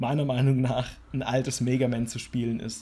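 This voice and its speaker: A man talks at a moderate pace in a medium pitch, his dark, mellow, somewhat breathy voice held to a monotone, flat intonation. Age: 20s. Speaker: gaming podcast co-host. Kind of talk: casual chat.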